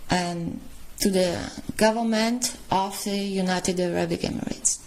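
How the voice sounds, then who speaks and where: A woman of medium pitch at a very slow pace, fairly even in intonation, with noticeable background noise. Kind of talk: reading a letter aloud.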